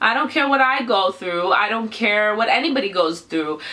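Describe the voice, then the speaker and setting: The delivery moves at a moderate pace with lively intonation. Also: woman. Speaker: vlogger, parent of child with cancer. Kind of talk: personal testimony vlog. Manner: halting.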